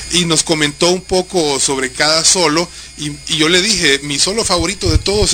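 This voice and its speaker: A man's high voice with music in the background. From Honduras. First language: Spanish. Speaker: radio co-host interviewer. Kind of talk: live radio interview.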